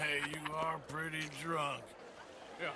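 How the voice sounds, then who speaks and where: A man uses a put-on character voice at a fairly high pitch. Loud background noise runs underneath. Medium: video game. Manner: laid-back, plainspoken.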